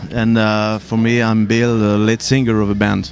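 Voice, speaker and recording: A man's voice amid noticeable background noise. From France. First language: French. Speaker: metal band lead singer. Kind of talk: casual interview. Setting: outdoor music festival. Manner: halting.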